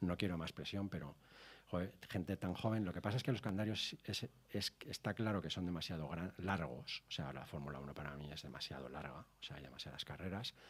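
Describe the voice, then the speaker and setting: Very deep, low man's voice with vocal fry and lively intonation, at a fairly quick pace. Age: 60s. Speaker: TV motoring show director and racing driver. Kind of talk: casual interview chat.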